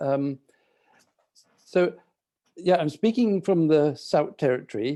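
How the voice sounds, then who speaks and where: A man speaks in a London accent at a moderate pace, his pitch fairly high and his tone dark and mellow. The pitch varies in an ordinary way, and the background is quiet. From London, England. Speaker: architect, community project manager. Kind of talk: presentation on video call. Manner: hesitant, many fillers.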